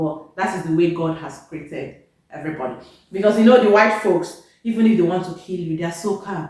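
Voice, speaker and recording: Loud and animated, the speaker talks with a Nigerian accent and ordinary pitch variation in a room with audible echo. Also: woman. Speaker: vlogger, nurse. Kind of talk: casual vlog talk to camera.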